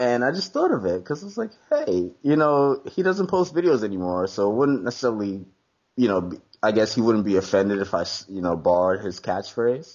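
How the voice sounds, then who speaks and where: A man speaks at a medium pitch and a fairly quick pace. His pitch swings very widely. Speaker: Pokemon YouTuber. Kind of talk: casual interview. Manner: fast.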